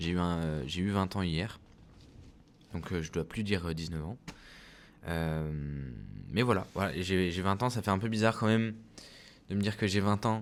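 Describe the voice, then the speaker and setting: A man's very deep, low pitch at a moderate pace, with ordinary pitch variation and long, frequent pauses. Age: 20s. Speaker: vlogger and clothing brand founder. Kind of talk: casual vlog monologue. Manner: hesitant, many fillers.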